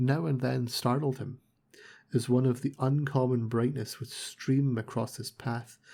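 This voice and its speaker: Soft-spoken and somewhat breathy, a man talks at a fairly slow pace with a medium pitch and fairly even intonation. The recording is very clean, with a silent background. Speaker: audiobook narrator. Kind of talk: reading aloud.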